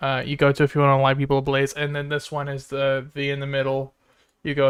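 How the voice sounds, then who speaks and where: A man talks at a very fast pace, his pitch fairly high. The recording is very clean, with a silent background. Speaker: gaming streamer. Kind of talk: live gameplay commentary. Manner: halting, many fillers and restarts.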